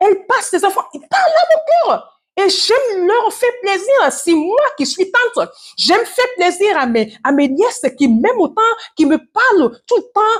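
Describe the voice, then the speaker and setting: A woman speaks at a fairly slow pace in an extremely high pitch that swings very widely. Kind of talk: devotional teaching.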